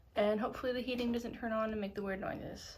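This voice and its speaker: A woman's monotone, flat delivery with audible room echo. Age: 20s. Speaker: knitting podcaster. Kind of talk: casual chat. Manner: hesitant, with pauses.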